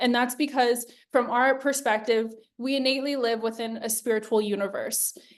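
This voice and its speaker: Her pitch is high and varies in an ordinary way. The woman speaks at a moderate pace. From Hawaii. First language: Hawaiian. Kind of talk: webinar presentation.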